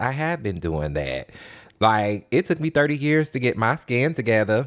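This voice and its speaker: Loud and at a moderate pace, a man speaks with very wide pitch swings, his voice dry and close with no echo on a very clean recording with a silent background. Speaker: podcast co-host. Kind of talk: casual chat.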